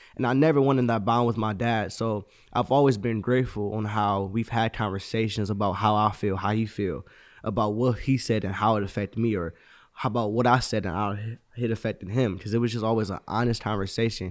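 A plain, everyday voice speaks at a fairly quick pace with fairly even intonation, recorded very cleanly against a silent background. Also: man, fairly low pitch for a man. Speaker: host's son. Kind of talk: casual chat.

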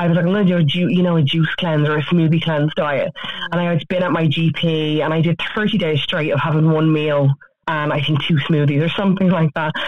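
Noticeable background noise sits behind a woman with an Irish accent. She talks at a fairly quick pace and a fairly low pitch. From Ireland. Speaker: author and social media influencer. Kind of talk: radio interview. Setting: phone call.

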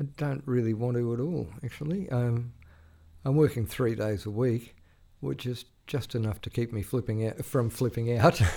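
A man with an Australian accent talks at a moderate pace, his tone dark and mellow. His pitch varies in an ordinary way, and the recording is very clean with a silent background. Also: medium pitch for a man. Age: 60s. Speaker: veteran journalist. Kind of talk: casual interview. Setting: studio. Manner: halting, with repeated words.

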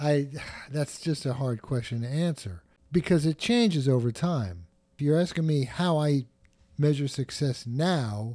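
The recording is very clean, with a silent background. A man with a fairly high pitch and a dark, mellow tone speaks at a fairly slow pace. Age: 60s. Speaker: drummer and photographer. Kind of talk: interview conversation.

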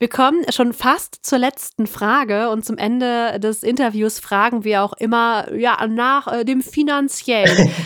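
Speaking with a Cologne accent, a woman has a fairly high pitch. Her pace is very slow. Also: ordinary pitch variation, hardly any pauses. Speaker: podcast host. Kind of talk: interview.

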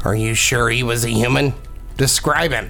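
Clear music plays in the background. A put-on character voice speaks at a moderate pace. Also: man, medium pitch for a man. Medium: audio drama. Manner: calm, measured, almost absent.

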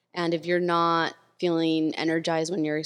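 Recorded very cleanly against a silent background, a woman speaks at a fairly low pitch with a Californian accent. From Los Angeles, US. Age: 30s. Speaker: tech community builder. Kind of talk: casual chat.

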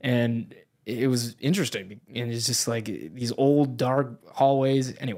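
At a medium pitch and a fairly slow pace, a man speaks with an American accent. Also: ordinary pitch variation. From New Hampshire, US. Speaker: Coast Guard member. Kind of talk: casual chat. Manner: animated.

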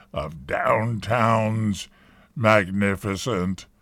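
A man talks very slowly at a medium pitch with fairly even intonation. The recording is very clean, with a silent background. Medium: comedy sketch. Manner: condescending, dry, curt.

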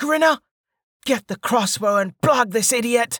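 Using a put-on character voice with an extremely high pitch, a man speaks at a fairly slow pace in a bright, sharp tone, with a dry, close sound and no echo. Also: lively intonation, very clean recording, silent background.

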